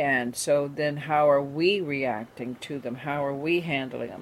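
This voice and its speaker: At a fairly slow pace, a woman speaks with a very deep, low pitch, a warm tone and fairly even intonation. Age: 70s. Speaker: radio host and spiritual teacher. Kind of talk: radio talk show monologue. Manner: warm, reflective, spiritual.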